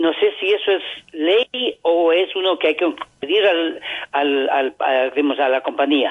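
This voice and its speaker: A man with a high pitch goes at a fairly slow pace, his pitch varying in an ordinary way. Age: 70s. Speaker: caller, factory worker. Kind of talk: phone-in question.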